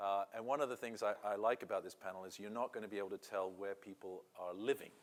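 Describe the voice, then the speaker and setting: This man speaks very fast at a medium pitch. His intonation stays fairly even. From England. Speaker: panel moderator. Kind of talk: panel discussion.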